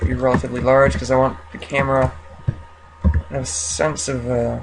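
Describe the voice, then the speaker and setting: Over noticeable background noise, a man mumbles in a very deep, low voice. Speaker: 3D modeling tutorial creator. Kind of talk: screen-recorded software tutorial. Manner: mumbling.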